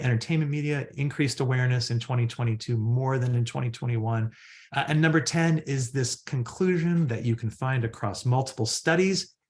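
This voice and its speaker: A man with a medium pitch talks at a fairly quick pace with lively intonation. His voice is somewhat breathy, and the background is quiet. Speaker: psychologist and research center director. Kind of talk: webinar presentation. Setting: online webinar. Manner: fast.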